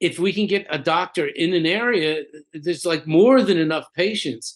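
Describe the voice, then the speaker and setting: With an American accent, a man talks at a moderate pace, pitched high, with ordinary pitch variation. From US Northeast, Philadelphia. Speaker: chiropractor and researcher. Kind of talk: casual interview chat. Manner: halting, repetitive.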